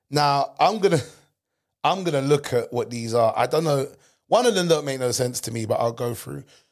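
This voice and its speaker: On a very clean recording with a silent background, a man with a London accent speaks at a moderate pace, his fairly high pitch carrying lively intonation. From England. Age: 30s. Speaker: comedian and podcast host. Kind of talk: casual chat. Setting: studio. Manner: animated.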